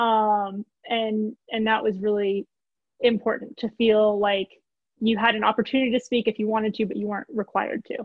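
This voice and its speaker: A woman with an American accent speaks in a monotone, flat intonation, the sound dry with no echo and the background quiet. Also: moderate pace. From Southern California. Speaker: former grief group member. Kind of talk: casual chat. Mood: earnest, reflective. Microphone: video call.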